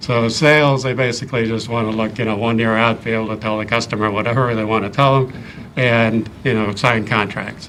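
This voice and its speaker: A man's medium-pitched voice with a slight Midwestern accent, at a fairly quick pace and with fairly even intonation, amid audible room echo and noticeable background noise. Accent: slight Midwest. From US Midwest, Ohio. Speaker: engineer and board candidate. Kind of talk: interview. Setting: town board meeting. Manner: hesitant with frequent ums.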